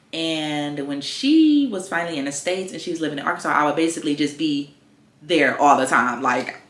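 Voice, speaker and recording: Behind noticeable background noise, a woman speaks in an American accent with a very deep, low pitch. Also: fairly quick pace. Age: 20s. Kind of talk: casual talk to camera. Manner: chatty, upbeat.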